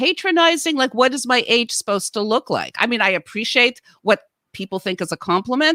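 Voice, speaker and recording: In a very clean recording with a silent background and a dry, close sound with no echo, a woman uses a raised, projected voice at a moderate pace, her high pitch swinging very widely in a bright, sharp tone. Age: 60s. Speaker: podcast co-host and actor. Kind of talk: casual chat. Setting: podcast.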